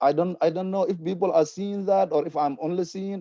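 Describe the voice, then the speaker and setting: Lively intonation and a dark, mellow tone in a non-native accent, with a dry, close sound and no echo. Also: man. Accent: foreign. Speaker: community panelist. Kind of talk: panel discussion. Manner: impassioned.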